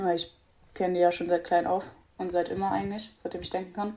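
A woman's voice of medium pitch with a dark, mellow tone. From Brandenburg, Germany. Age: 20s. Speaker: para swimmer. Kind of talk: interview.

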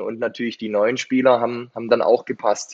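A man speaks in an unremarkable speaking voice, medium in pitch, with fairly even intonation. The sound is dry and close, with no echo. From Swabia, Germany. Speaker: football coach. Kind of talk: interview.

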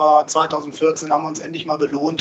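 There is noticeable background noise behind a man with a fairly high pitch. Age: 50s. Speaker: financial advisor. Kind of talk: interview. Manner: hesitant, many fillers.

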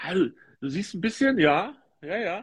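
A man speaks with very wide pitch swings. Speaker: football tipping podcast host. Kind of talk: casual chat. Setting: Instagram live video stream.

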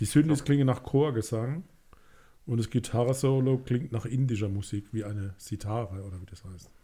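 A man talks at a moderate pace in a medium-pitched, somewhat breathy voice with a dark, mellow tone. His loudness swings widely while his pitch varies in an ordinary way. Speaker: music podcast co-host. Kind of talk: casual chat.

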